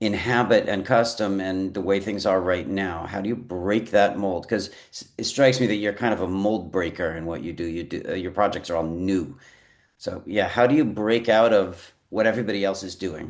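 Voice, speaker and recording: In a normal speaking voice, a man with a fairly low pitch talks at a moderate pace with ordinary pitch variation. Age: 60s. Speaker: podcast host. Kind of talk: podcast interview.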